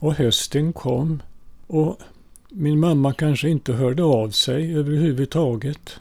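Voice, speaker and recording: A man speaks with a Finnish accent in a dark, mellow tone. His pace is fairly slow and his pitch varies in an ordinary way. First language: Finnish (speaking Swedish). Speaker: priest. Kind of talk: personal life story.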